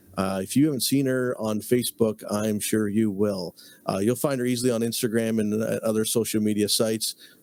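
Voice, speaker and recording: This is a plain, everyday voice from a man at medium pitch. He moves at a fairly quick pace with fairly even intonation. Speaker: podcast host. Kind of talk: podcast host talk.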